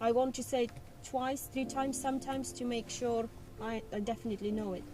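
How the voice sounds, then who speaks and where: A woman with a non-native accent talks at a fairly quick pace in a fairly high pitch. Her tone is dark and mellow, her intonation flat and monotone. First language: not English. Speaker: learner driver. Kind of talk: casual chat.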